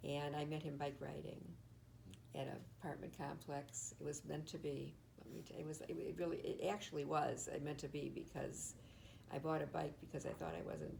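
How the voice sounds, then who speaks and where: In a room with audible echo, a woman with an American accent speaks at a fairly quick pace. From Michigan, Detroit. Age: 80s+. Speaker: retired teacher. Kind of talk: oral history interview. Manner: halting.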